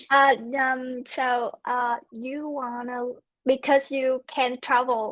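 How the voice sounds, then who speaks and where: Her pitch is high and her pace very slow. The woman speaks with a Vietnamese accent in a monotone, flat intonation. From Vietnam, Ho Chi Minh City. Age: 20s. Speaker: English learner. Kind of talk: casual chat. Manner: halting.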